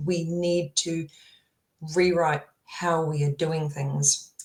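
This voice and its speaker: Her voice is fairly low and somewhat breathy. This woman speaks with a monotone, flat intonation. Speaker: tech founder. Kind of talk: interview conversation.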